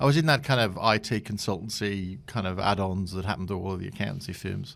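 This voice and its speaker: A man's very fast, fairly low voice with lively intonation and a northern English accent, on a very clean recording with a silent background. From northeast England. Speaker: tech executive and board chair. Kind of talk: podcast interview. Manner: casual, hesitant with fillers.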